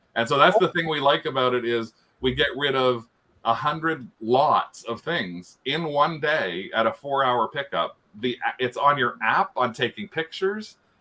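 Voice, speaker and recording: In a Canadian accent, the voice moves at a moderate pace with lively intonation. Its tone is bright and sharp. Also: man, fairly high pitch for a man. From Canada. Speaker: reseller and YouTuber. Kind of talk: casual chat.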